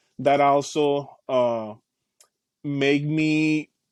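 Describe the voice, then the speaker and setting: The sound is dry and close with no echo as a man speaks at a fairly high pitch with fairly even intonation. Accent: Spanish. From Caribbean, Puerto Rico and Dominican Republic. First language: Spanish. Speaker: youth program specialist. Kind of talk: interview. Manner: halting, repeats words.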